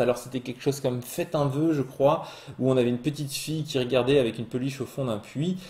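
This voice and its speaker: A man at a medium pitch speaks at a fairly quick pace over noticeable background noise. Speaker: Magic card game podcast host. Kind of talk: solo card spoiler review. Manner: fast; hesitant with fillers.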